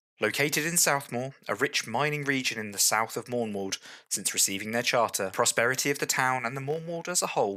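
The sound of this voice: Lively intonation in an unforced reading voice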